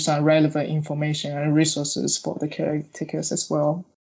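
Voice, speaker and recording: In a Chinese accent, a woman speaks with a very deep, low pitch. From China. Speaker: researcher. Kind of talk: interview. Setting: remote recording. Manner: hesitant with fillers.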